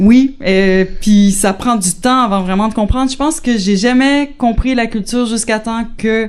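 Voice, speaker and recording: Delivery comes at a fairly slow pace with hardly any pauses and ordinary pitch variation. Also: woman, fairly high pitch for a woman. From Quebec, Shawinigan. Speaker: interviewee, wife of immigrant. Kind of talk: interview. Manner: hesitant, many fillers.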